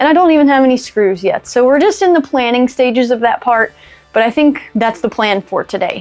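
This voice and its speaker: A woman's high-pitched voice at a fairly quick pace, with faint music in the background. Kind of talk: casual vlog chat. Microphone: lapel.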